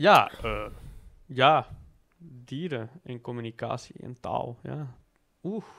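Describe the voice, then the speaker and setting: A man with an Antwerp accent speaks at a very slow pace and medium pitch, in a bright, sharp tone with ordinary pitch variation. His loudness swings widely, broken by long, frequent pauses. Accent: Antwerp-flavoured Flemish tussentaal. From Belgium, Antwerp. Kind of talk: casual chat.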